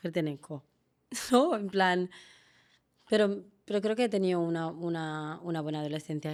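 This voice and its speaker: This woman talks at a moderate pace with ordinary pitch variation, captured on a very clean recording with a silent background. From Guinea-Bissau, raised from childhood in Seville. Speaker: teacher and actress. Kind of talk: interview conversation. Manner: hesitant, many restarts.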